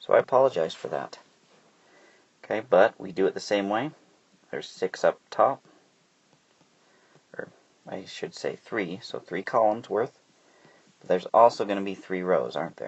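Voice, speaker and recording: At a moderate pace, a man speaks with long, frequent pauses and big swings in loudness. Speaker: math teacher. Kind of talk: tutorial. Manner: casual.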